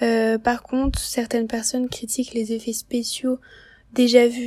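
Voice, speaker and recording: Her voice fairly high in pitch yet dark and mellow in tone, a woman speaks at a very slow pace with monotone, flat intonation. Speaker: student columnist. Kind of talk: scripted film review chronicle.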